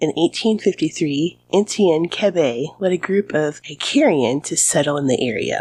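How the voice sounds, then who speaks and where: Using lively intonation, a woman with an American accent speaks at a moderate pace and fairly low pitch, with hardly any pauses. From US Midwest. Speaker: history podcast host. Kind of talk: scripted narration.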